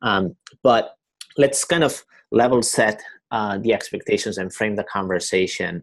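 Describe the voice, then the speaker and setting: A man's medium-pitched voice with a slight Spanish accent and ordinary pitch variation, at a fairly slow pace with long, frequent pauses, over a quiet background. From Spain, Barcelona. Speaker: company co-founder. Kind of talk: webinar presentation. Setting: online webinar. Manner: halting, many fillers and repetitions.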